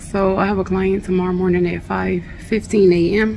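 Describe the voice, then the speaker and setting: A woman talks while noticeable background noise runs behind her. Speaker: hair stylist vlogger. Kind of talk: casual vlog chat. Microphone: phone near.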